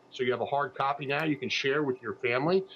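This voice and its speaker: Medium in pitch, a man speaks at a very fast pace. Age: 60s. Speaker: funeral planning platform founder. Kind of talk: TV interview. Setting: TV news streaming broadcast. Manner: halting, many fillers and repeats.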